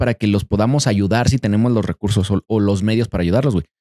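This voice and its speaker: A man speaks at a very fast pace with a Mexican accent and a dark, mellow tone. The sound is dry and close, with no echo. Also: very clean recording, silent background. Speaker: podcast host. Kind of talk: casual chat.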